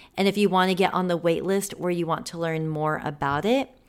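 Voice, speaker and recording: A woman with a plain, everyday voice, fairly low pitch, ordinary pitch variation and a moderate pace on a very clean recording with a silent background. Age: 30s. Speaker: personal stylist and podcast host. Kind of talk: solo podcast monologue. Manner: casual, conversational.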